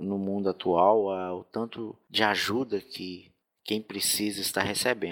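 A man speaks fairly slowly with a fairly low pitch. His intonation is monotone and flat. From Minas Gerais, Brazil. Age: 20s. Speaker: hotel receptionist and motorcycle courier. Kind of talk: recorded personal testimony. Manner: halting, many fillers.

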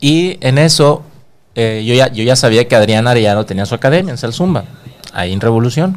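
A man talks over noticeable background noise. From Monterrey, Mexico. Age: 40s. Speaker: dance instructor. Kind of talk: casual chat. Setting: studio.

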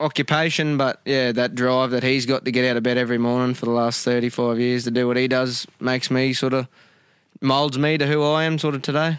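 With an Australian accent, a man talks at a fairly quick pace and medium pitch, his intonation fairly even. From Queensland, Australia (Gracemere). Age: 20s. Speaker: camp drafter, horse rider. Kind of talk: interview. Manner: halting.

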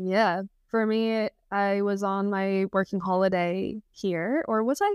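A woman is speaking. She talks with a Texan accent. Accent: Texan American. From Texas. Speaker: surfer and outdoor adventurer. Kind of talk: casual interview chat.

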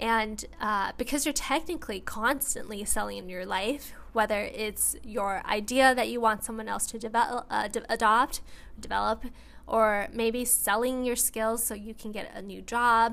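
At a moderate pace, a woman speaks with a fairly high pitch, vocal fry, fairly even intonation and big swings in loudness. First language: bilingual English and Mandarin Chinese. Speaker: solo podcaster. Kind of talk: monologue.

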